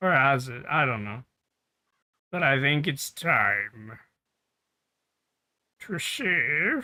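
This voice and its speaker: In a put-on character voice, a man speaks raspy and fairly high-pitched, with lively intonation. His pace is very slow, broken by long, frequent pauses. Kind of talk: chaotic comedic game streaming. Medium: virtual streamer. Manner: rambling, silly, prone to sudden bits.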